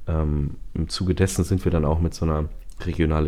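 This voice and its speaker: This man has a very deep, low voice. He talks at a moderate pace. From northern Germany (Bremen). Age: 30s. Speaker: singer and songwriter. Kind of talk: interview. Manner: hesitant, many fillers.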